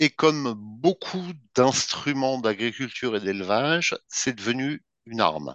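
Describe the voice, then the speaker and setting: A plain, everyday voice from a man at medium pitch, fairly slow in pace with lively intonation, in a dry, close sound with no echo. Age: 50s. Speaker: BDSM practitioner and article writer. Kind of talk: interview.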